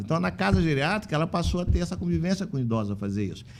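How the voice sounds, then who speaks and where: Pitch leaps across a very wide range as the words pour out at a very fast pace. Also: man. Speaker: physician and elder-care facility manager, union president. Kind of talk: podcast interview.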